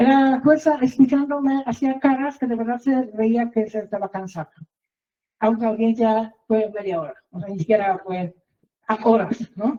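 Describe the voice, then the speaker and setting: Her fairly high voice moves at a fairly slow pace, and this woman's pitch varies in an ordinary way. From outside Mexico, foreign. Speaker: reporter and litigant telling her case. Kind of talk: testimony. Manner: halting, many fillers and repetitions.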